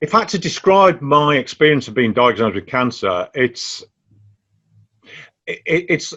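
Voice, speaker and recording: A man's fairly slow, lively-intoned speech with vocal fry. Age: 60s. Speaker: cancer patient advocate. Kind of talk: interview answers. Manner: hesitant, with fillers and repetitions.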